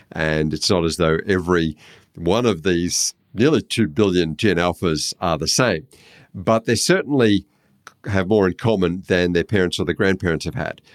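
In an Australian accent, a man speaks at a moderate pace with a very deep, low pitch and ordinary pitch variation, the sound dry and close with no echo in a very clean recording with a silent background. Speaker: social researcher. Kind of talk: casual chat.

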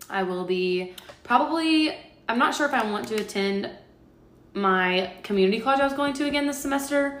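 A woman speaks at a moderate pace with lively intonation. There is audible room echo and noticeable background noise. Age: 20s. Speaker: podcast co-host. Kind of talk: casual chat.

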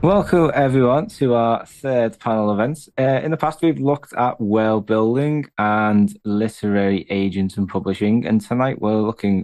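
At a moderate pace, a man speaks in a plain, everyday voice with ordinary pitch variation against a quiet background. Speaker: podcast host. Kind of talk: panel discussion, moderated. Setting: live online panel.

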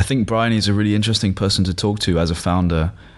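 With a British accent, a man talks with ordinary pitch variation. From UK. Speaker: podcast host. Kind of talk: interview.

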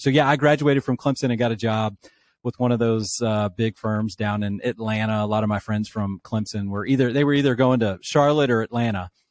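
In an unremarkable speaking voice, a man talks at a fairly quick pace and medium pitch with fairly even intonation, the sound dry and close with no echo over a quiet background. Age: 40s. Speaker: author and former pastor, leadership coach. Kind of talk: interview conversation.

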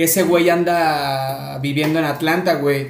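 A man speaks at a very slow pace. Room echo can be heard. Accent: Mexican. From Córdoba, Veracruz, Mexico. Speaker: podcast host. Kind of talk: casual chat.

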